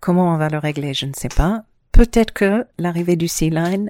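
Dark and mellow in tone, a woman speaks at a fairly slow pace with ordinary pitch variation. The sound is dry and close, with no echo. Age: 50s. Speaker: island resident, former wine estate worker. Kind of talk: interview.

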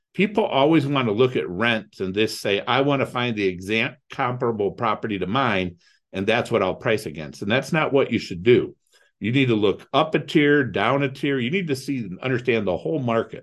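A man talks at a fairly quick pace. He has a medium pitch and lively intonation. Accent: Midwestern American. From Ohio, US Midwest (Toledo). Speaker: real estate investor. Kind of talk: interview.

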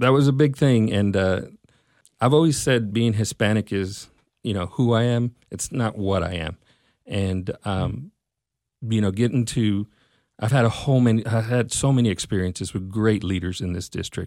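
On a very clean recording with a silent background, a man with a Texan accent speaks at a moderate pace in a fairly low pitch with ordinary pitch variation. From Texas, Mesquite. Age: 40s. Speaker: school district personnel director. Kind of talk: interview.

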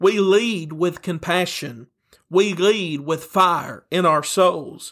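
In a very clean recording with a silent background, a man with a Tennessee accent and a high pitch speaks at a very slow pace with fairly even intonation. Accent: Southern US (Tennessee). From Tennessee, US South. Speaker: pastor. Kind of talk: sermon.

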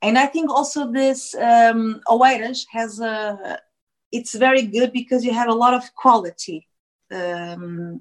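A woman with a Portuguese accent, fairly high-pitched, at a fairly slow pace, with lively intonation and big swings in loudness. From Portugal, Lisbon area. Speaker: actress and singer. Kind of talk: interview, casual chat. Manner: halting, many fillers and restarts.

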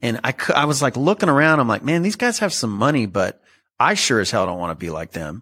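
In a very clean recording with a silent background, a man with a medium-pitched, bright, sharp voice and vocal fry talks at a very fast pace with very wide pitch swings. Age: 40s. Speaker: multifamily real estate investor. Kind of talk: casual interview. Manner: animated.

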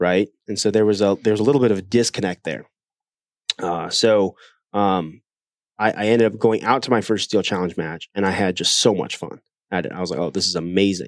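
In a very clean recording with a silent background and a dry, close sound with no echo, a man with a plain, everyday voice speaks at a fairly low pitch and a fairly quick pace with fairly even intonation. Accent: American. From Ohio, US Midwest. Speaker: shooting instructor. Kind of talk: casual interview. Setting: on-site at a training facility.

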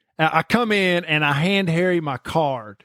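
The recording is very clean, with a silent background and a dry, close sound with no echo. A man with an American accent speaks at a fairly slow pace with ordinary pitch variation. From Eastern Kentucky. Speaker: podcast host. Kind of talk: casual chat.

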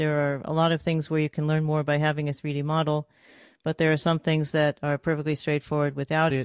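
A woman with an American accent speaks at a very fast pace in a very deep, low pitch. The sound is dry and close with no echo, over a quiet background. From US Northeast, New York City. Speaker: author and former rocket scientist. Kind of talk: interview.

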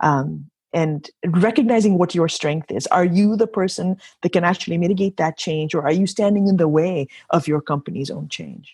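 A woman's fairly low, somewhat breathy voice, dark and mellow in tone, at a moderate pace with ordinary pitch variation. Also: dry, close sound with no echo. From Kenya. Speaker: entrepreneur and professional golfer. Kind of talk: interview. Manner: animated.

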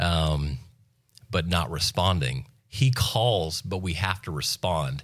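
Over a silent background in a very clean recording, a man with an American accent speaks at a very deep, low pitch, with vocal fry and ordinary pitch variation. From US South, Florida Panhandle. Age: 30s. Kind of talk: testimony.

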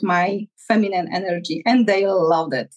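Someone with a Polish accent speaks at a very slow pace. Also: woman. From Poland. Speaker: relationship coach. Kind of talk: interview. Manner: halting.

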